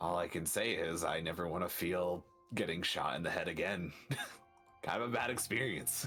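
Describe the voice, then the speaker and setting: With faint music in the background, a man puts on a character voice with a very deep, low pitch. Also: moderate pace. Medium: actual play. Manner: stammering, flustered.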